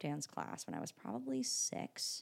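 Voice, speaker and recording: In a very clean recording with a silent background, a woman speaks with an American accent in a very deep, low voice. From Michigan, US. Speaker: writer-performer. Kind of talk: casual chat.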